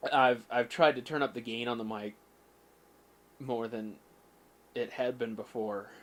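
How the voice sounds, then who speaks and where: Soft-spoken and fairly even in intonation, a man talks at a fairly slow pace. He leaves long, frequent pauses. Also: medium pitch for a man. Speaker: gaming channel host. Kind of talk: casual vlog update. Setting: at home. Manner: halting, many repeats. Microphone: quiet, gain turned up.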